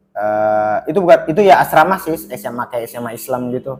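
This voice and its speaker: Music plays in the background as a man talks at a fairly quick pace. His intonation is lively. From Baubau, Southeast Sulawesi, eastern Indonesia. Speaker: stand-up comedian. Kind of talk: casual podcast interview. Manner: conversational, storytelling.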